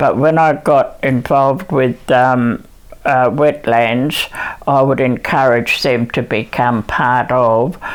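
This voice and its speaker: Very slow pace with ordinary pitch variation. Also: woman. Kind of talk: interview answer. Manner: hesitant, many fillers.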